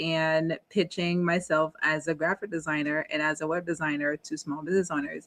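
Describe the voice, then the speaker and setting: A woman with a Haitian accent talks at a fairly quick pace in a bright, sharp tone. The sound is dry and close, with no echo. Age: 30s. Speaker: entrepreneur and advocate. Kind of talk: interview.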